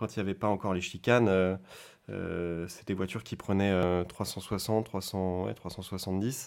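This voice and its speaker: The recording is very clean and the background silent. A man talks in a very deep, low, monotone, flat voice. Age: 30s. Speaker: classic car event competition manager. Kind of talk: interview. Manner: hesitant, many fillers and repetitions.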